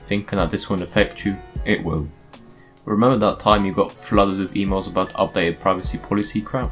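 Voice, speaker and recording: Over background music, a man with a very deep, low voice talks very fast with ordinary pitch variation. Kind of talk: explainer talk on current affairs. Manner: casual.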